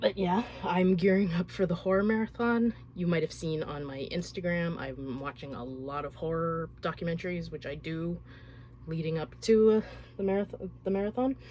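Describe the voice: At a moderate pace, a woman speaks with a dark, mellow tone, fairly low pitch and ordinary pitch variation.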